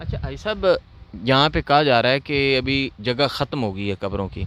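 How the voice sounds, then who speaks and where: Fairly high in pitch, a man talks in a plain, everyday voice. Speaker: YouTube interviewer. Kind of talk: interview questions and introduction to camera.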